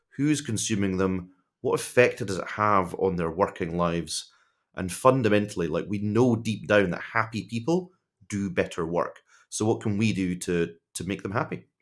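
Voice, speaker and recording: A man's fairly low voice in a Scottish accent, at a moderate pace with ordinary pitch variation, in a very clean recording with a silent background. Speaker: tech executive. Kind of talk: podcast interview.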